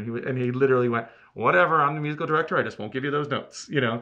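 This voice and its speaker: A man with an American accent speaks in an animated tone with ordinary pitch variation. His tone is bright and sharp, and the background is quiet. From Cape Cod, Massachusetts; Massachusetts. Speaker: theater producer and director; interview guest. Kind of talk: casual interview chat. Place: studio.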